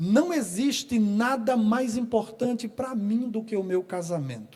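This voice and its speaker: At a fairly slow pace, this dark, mellow voice moves with lively intonation. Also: man. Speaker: pastor. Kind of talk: sermon. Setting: church.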